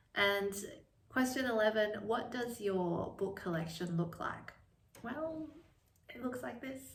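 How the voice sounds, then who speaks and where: The speech moves at a fairly slow pace with long, frequent pauses, amid noticeable background noise and audible room echo. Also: woman, lively intonation. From China, moved to Australia at ten. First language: Chinese. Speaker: book vlogger and lawyer. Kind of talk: casual vlog talk. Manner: hesitant, many fillers.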